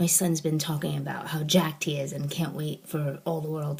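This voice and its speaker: A woman whispers quietly at a moderate pace against noticeable background noise. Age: 40s. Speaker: author and blogger. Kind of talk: casual vlog. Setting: home office, vlog to camera. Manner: quiet, near-whispering.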